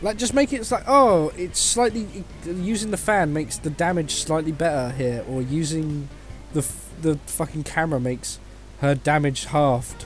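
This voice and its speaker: With music in the background, a man with a fairly high pitch speaks at a moderate pace with lively intonation. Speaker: video game reviewer. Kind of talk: game review rant. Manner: mumbling; animated.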